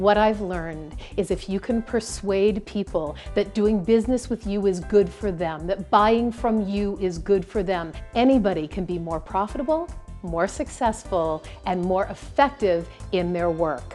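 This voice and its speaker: Words come at a fairly slow pace over music in the background. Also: woman, ordinary pitch variation. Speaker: professional keynote speaker. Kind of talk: keynote speech to a live audience. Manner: high-energy, engaging.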